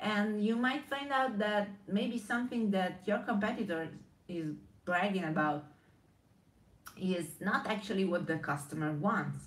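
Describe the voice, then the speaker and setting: A woman with an Italian accent speaks at a medium pitch with lively intonation and very even loudness. She goes at a fairly slow pace with long, frequent pauses, and audible room echo surrounds her. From Italy. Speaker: brand strategist. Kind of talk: live stream monologue. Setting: live video stream. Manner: halting.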